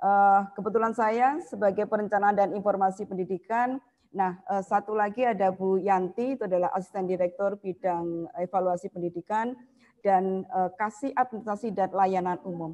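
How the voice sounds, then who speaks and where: A woman with a dark, mellow tone speaks at a moderate pace with fairly even intonation. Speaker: university academic administrator. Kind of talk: online presentation. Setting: video call. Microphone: video call.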